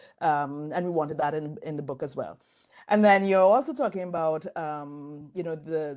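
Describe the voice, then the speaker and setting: A woman with a Caribbean accent speaks at a moderate pace in a very deep, low voice, with ordinary pitch variation. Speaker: design professor and author. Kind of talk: interview conversation. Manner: conversational with fillers.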